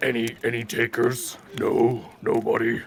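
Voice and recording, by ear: In a put-on character voice, the speaker bellows in a guttural, gruff way at a moderate pace. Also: man, medium pitch for a man.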